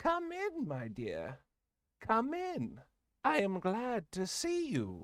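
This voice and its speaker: A put-on character voice, fairly high in pitch, at a very slow pace on a very clean recording with a silent background. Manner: welcoming, warm.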